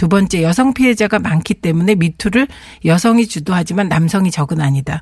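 A woman speaks at a fairly low pitch, somewhat breathy. Her intonation is lively and her pace fairly quick. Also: very even loudness. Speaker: politician. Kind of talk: radio interview. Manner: formal.

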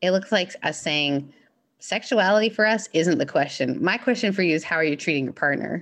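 Against a quiet background, a woman speaks at a fairly quick pace. Her pitch swings very widely. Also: medium pitch for a woman. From Canada, then Mississippi from age fourteen. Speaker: minister. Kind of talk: casual interview chat.

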